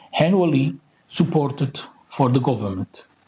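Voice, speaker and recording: A somewhat breathy man with a fairly high pitch and a dark, mellow tone. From Portugal. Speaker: Roma activist. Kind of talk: conference speech.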